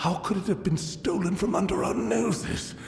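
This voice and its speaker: Over clear music in the background and with slight echo, a man performs a put-on character voice. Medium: video game. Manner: formal, measured.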